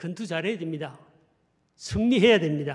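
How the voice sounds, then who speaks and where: A man speaks with a strong Gyeongsang accent and lively intonation. The room echo is audible. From Gyeongsang region, South Korea. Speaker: pastor. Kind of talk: sermon.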